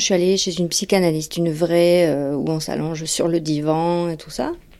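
Talking at a moderate pace with hardly any pauses, a woman with a fairly low pitch shows big swings in loudness. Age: 40s. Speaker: former therapy patient. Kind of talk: testimony. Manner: halting.

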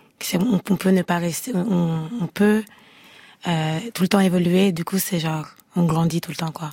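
Husky and somewhat breathy, a woman's fairly low voice has a dark, mellow tone, fairly even intonation and a fairly slow pace. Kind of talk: casual interview. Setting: radio studio.

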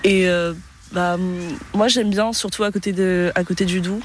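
A woman speaks in a fairly low voice with flat, monotone intonation. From southern France, Nice. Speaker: passer-by interviewed in street. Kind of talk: street interview. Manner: hesitant.

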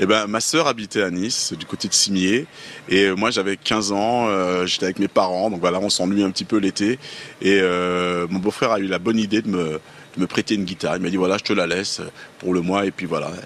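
Here a man has a normal speaking voice, fairly low in pitch, moving at a fairly quick pace with fairly even intonation. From Paris region, Guadeloupean family. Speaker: musician. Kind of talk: interview.

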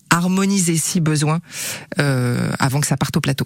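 The speech comes at a moderate pace with a dry, close sound and no echo. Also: woman. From western France (Angers), childhood in Gabon. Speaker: TV screenwriter and author. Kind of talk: radio interview.

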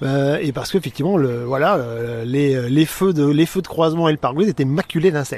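Someone speaks at a fairly quick pace with ordinary pitch variation over noticeable background noise. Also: man, fairly high pitch for a man. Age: 50s. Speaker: naturalist. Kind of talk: casual interview.

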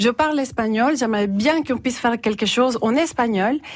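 A woman with a Salvadoran accent, high pitch, ordinary pitch variation and a moderate pace. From El Salvador. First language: Spanish (speaking French). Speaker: university teaching adviser. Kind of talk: radio interview. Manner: halting.

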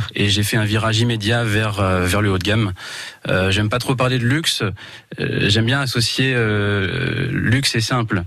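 Speaking at a fairly slow pace, this man has an ordinary speaking voice with a fairly low pitch, fairly even intonation and very even loudness. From Val d'Oise, France. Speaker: eco-lodge owner. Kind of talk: radio interview.

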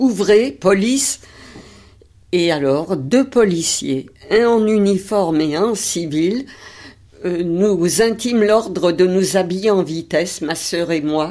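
A woman's medium-pitched voice with lively intonation, a very slow pace and long, frequent pauses. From Paris, 20th arrondissement. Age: 80s+. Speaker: Holocaust survivor. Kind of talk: testimony.

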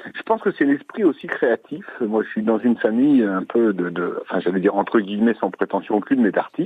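Talking at a fairly quick pace, a man is heard through noticeable background noise. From Poitou, France. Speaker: caller, DIY restorer. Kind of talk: casual phone chat. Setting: phone call. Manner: halting, hesitant.

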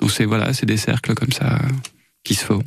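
A very fast pace with fairly even intonation. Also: man. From southern France, Gard (Saint-Christophe-lès-Alès). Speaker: dancer and arts venue founder. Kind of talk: radio interview.

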